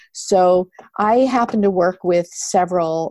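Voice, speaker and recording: A woman with a fairly low pitch and ordinary pitch variation is heard in a dry, close sound with no echo. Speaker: yoga therapist and author. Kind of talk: interview. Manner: talks on without many pauses.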